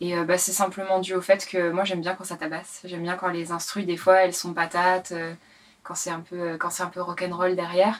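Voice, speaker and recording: Over noticeable background noise, a woman speaks at a moderate pace in a fairly low, monotone voice with flat intonation and big swings in loudness. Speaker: singer-songwriter and rapper. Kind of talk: interview. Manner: hesitant, many fillers.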